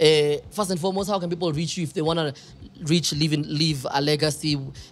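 With music in the background, a man talks in an animated tone with ordinary pitch variation. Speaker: podcast host. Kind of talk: casual interview. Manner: animated, laughs often.

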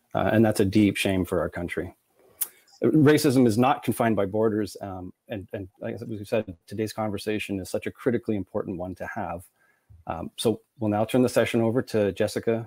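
Speaking at a fairly quick pace in a Canadian accent, a man has a fairly low pitch and a dark, mellow tone. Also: fairly even intonation, dry, close sound with no echo. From Canada. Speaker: video cast host. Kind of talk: show introduction. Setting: video call.

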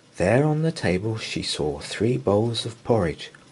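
The speaker has an unforced reading voice with lively intonation.

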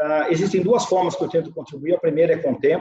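A man's voice with audible room echo against a quiet background. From Minas Gerais, Brazil. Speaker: marketing executive and biologist; interview guest. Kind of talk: interview answer. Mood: calm, reflective. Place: office. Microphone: webcam.

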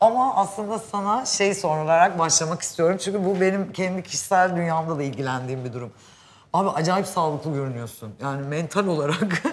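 The delivery moves at a fairly quick pace with an animated tone. Its intonation is lively. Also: woman, fairly low pitch for a woman. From Turkey. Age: 40s. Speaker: show host. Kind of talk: casual chat. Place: hall. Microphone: lapel.

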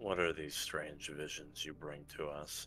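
Against clear background noise, a man puts on a character voice at a fairly slow pace.

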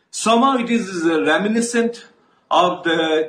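Amid audible room echo, a man speaks at a fairly slow pace. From India, Assam. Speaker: politician. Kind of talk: political statement to camera. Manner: formal. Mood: serious, concerned. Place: home room. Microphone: earbuds.

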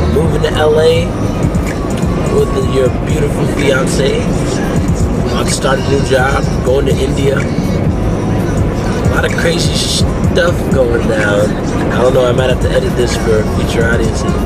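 A man speaks with long, frequent pauses. Music plays in the background. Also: moderate pace. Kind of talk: casual vlog chat. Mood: relaxed, reflective. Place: car. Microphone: phone near.

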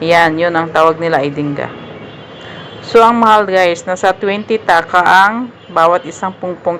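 Against noticeable background noise, a woman speaks at a fairly slow pace with ordinary pitch variation. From Philippines. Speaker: vlogger. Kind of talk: market vlog narration. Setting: outdoor market.

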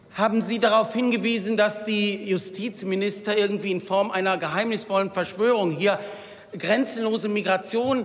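Speaking at a moderate pace, a man with a high voice keeps his intonation fairly even. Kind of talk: parliamentary speech. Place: hall. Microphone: podium.

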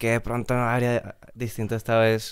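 A man talks at a fairly quick pace against a quiet background, the sound dry with no echo. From Colombia, Bogotá. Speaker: pop band musician; guest. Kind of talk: casual interview chat. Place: studio. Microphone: studio mic.

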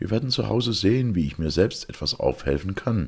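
Putting on a character voice, a man speaks low-pitched with vocal fry and a slightly husky edge, lively intonation and a fairly quick pace on a very clean recording with a silent background.

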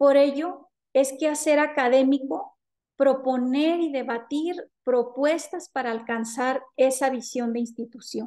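Against a quiet background, a woman speaks at a very slow pace with a high pitch, ordinary pitch variation and a dark, mellow tone. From Mexico, Jalisco. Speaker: university lecturer and researcher; university lecturer. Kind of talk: conference presentation. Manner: formal. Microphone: webcam.

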